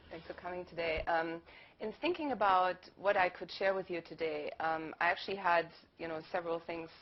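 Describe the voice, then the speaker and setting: A woman talks with a German accent at a fairly quick pace, her fairly low pitch held in a monotone, flat intonation. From Germany. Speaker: university lecturer. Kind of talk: panel talk.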